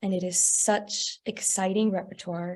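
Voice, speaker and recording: The speaker has a Texas accent. The intonation stays fairly even. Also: woman. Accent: American, Texas. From Texas, San Antonio. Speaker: opera singer. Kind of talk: interview.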